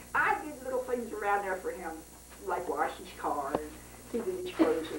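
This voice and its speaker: A woman's high-pitched voice at a moderate pace, with very wide pitch swings, over noticeable background noise. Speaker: family storyteller. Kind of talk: interview answer. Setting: home recording.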